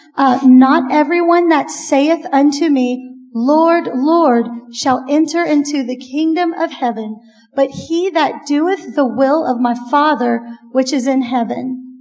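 A woman with a high pitch talks at a fairly slow pace with ordinary pitch variation, noticeable background noise behind her. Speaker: church women's event host. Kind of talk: event introduction.

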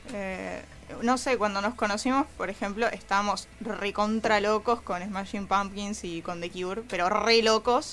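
A woman at a medium pitch speaks fairly slowly with fairly even intonation over noticeable background noise. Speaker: rock musician. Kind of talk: interview.

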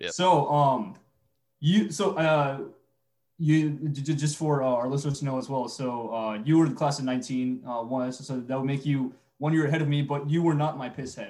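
A man's fairly high voice at a moderate pace, fairly even intonation, an unremarkable speaking voice. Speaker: podcast co-host, student.

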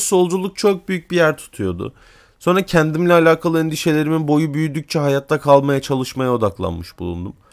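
A man with an ordinary speaking voice and a fairly high pitch, lively intonation, and a moderate pace, on a very clean recording with a silent background. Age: 20s. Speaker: podcaster, university student. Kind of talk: solo monologue podcast.

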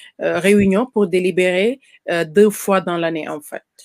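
A woman's medium-pitched voice at a fairly slow pace, in a dry, close sound with no echo. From Senegal. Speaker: caterer and farmer. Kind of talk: interview. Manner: halting.

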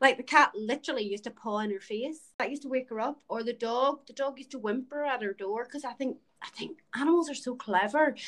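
Talking at a very fast pace with hardly any pauses, a woman with a high voice uses ordinary pitch variation and big swings in loudness. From Ireland. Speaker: podcast host. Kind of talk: casual chat.

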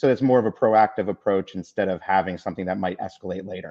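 A man with a fairly low pitch and fairly even intonation has an unremarkable speaking voice. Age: 40s. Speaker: brewery owner. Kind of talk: panel discussion.

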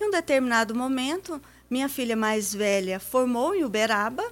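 A woman speaks at a moderate pace. Her high voice swings very widely in pitch. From Paraná, Brazil. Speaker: businesswoman and accountant. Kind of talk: radio interview. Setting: radio studio.

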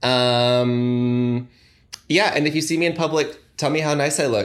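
Fairly slow and at medium pitch, a man speaks in a plain, everyday voice with ordinary pitch variation. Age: 20s. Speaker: podcast guest. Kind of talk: casual chat.

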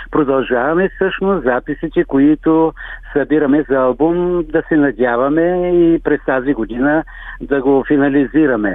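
Spoken in an ordinary speaking voice at a fairly slow pace, the delivery keeps a very even loudness. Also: man, fairly high pitch for a man, ordinary pitch variation. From Bulgaria, Svilengrad area (Thrace). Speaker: folk singer. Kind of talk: radio interview.

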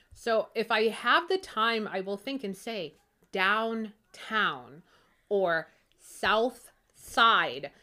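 Very slowly and with lively intonation, a woman with a fairly high pitch and a bright, sharp tone speaks in a Pittsburgh accent on a very clean recording with a silent background. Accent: Pittsburgh accent (Western Pennsylvania). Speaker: podcast co-host. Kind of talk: casual chat. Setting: at her own home.

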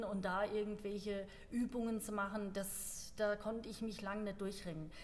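With audible room echo, a woman speaks somewhat breathily at a fairly high pitch. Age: 40s. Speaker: CrossFit gym member and ultrarunner. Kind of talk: casual chat. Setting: studio, seated at a table.

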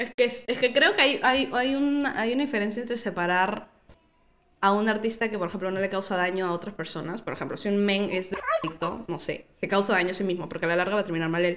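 Talking at a very fast pace, a woman's medium-pitched voice shows ordinary pitch variation over noticeable background noise. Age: 20s. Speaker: podcast guest. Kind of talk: casual chat.

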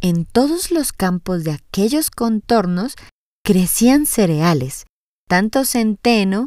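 Lively intonation in plain reading aloud, with a quiet background

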